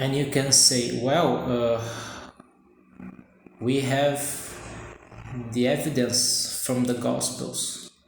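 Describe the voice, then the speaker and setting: A man with a Brazilian accent speaks at a medium pitch with monotone, flat intonation at a very slow pace. There are long, frequent pauses, audible room echo and noticeable background noise. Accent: non-native English, Brazilian. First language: Portuguese. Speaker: amateur vlogger. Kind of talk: casual monologue vlog. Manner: halting, many fillers.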